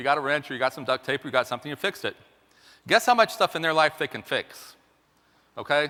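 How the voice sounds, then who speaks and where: Very fast speech comes through in a bright, sharp tone. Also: man. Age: 50s. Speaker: mathematician and consultant speaker. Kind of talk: talk to a live audience. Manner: casual, halting with fillers.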